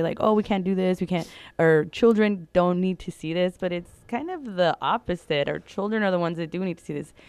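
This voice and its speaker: Speaking at a very fast pace, a woman with an American accent uses a fairly low pitch and ordinary pitch variation. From California Central Valley. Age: 30s. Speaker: LGBTQ+ educator and activist. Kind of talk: interview. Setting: studio.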